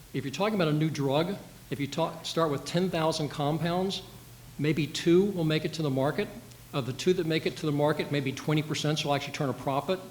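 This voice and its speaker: Fairly quick in pace, a man with an American accent talks with fairly even intonation. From Washington DC. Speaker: former senate staffer, policy panelist. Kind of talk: panel discussion. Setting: panel event with audience and livestream. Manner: fast.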